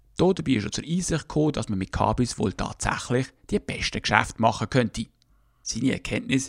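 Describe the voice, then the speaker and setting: In a very clean recording with a silent background, a man with a normal speaking voice and medium pitch talks at a fairly quick pace with lively intonation. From Switzerland, Basel. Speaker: podcast host. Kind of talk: scripted narration.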